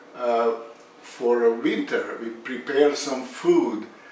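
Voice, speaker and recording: Speech at a very slow pace, with audible room echo and noticeable background noise. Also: man. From Bosnia and Herzegovina. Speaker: home cook video creator. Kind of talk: cooking tutorial. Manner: halting, many fillers.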